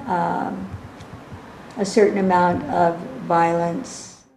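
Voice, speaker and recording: A woman speaks at a very slow pace. The room echo is audible, and background noise is noticeable. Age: 60s. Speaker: ex-convict. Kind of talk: interview testimony.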